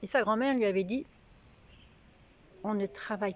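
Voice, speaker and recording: Lively intonation in a woman's fairly high-pitched voice. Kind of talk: casual talk to camera.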